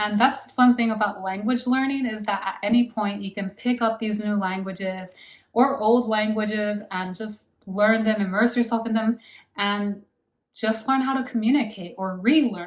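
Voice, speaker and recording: A woman's somewhat breathy, fairly high voice with an American accent and fairly even intonation. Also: moderate pace. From United States. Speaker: language-learning vlogger. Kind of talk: casual monologue to camera.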